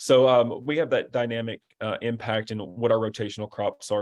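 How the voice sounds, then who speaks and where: Here a man speaks with an Arkansas accent. His pitch sits in the medium range. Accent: Arkansas, Southern. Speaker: webinar moderator. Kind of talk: webinar panel discussion.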